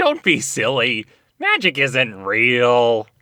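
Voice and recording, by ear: At a very slow pace, a man does a cartoonish character voice at a medium pitch.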